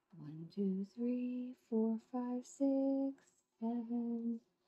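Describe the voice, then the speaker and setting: A woman speaks very slowly at a fairly high pitch, somewhat breathy. Her tone is dark and mellow, also gentle and warm. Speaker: grandmother reading picture books. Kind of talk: children's picture book read-aloud. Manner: gentle, warm. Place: home room. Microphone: phone near.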